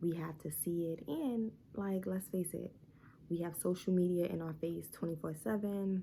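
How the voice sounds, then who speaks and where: Dark and mellow in tone, the somewhat breathy voice keeps fairly even intonation at a moderate pace. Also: woman, fairly low pitch for a woman. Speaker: vlogger, new mom. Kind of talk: casual vlog talk to camera. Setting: at home during baby's nap. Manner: quieter than usual, talking low; casual, filler-heavy.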